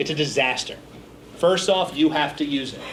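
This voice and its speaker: A man with an American accent talks at a moderate pace with lively intonation. Audible room echo surrounds his voice. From Philadelphia, US Northeast. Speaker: business speaker. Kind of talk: seminar talk.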